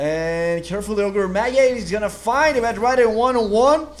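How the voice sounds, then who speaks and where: A man talks with a non-native accent. The room echo is audible, and there is noticeable background noise. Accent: foreign accent in English. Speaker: esports caster. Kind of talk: live commentary. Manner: halting.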